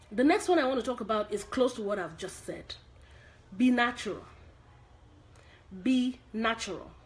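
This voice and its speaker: With a high pitch and an animated tone, a woman speaks at a moderate pace with lively intonation and long, frequent pauses. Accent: Nigerian. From Nigeria. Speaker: acting coach. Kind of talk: live stream tutorial.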